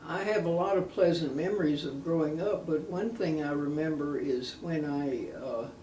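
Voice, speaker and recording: A woman with an Alabama accent and a very deep, low pitch, at a moderate pace with ordinary pitch variation and hardly any pauses, amid noticeable background noise and audible room echo. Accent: Southern US (Alabama). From US South, Alabama. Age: 80s+. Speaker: interviewee. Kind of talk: oral history interview. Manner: halting, many fillers.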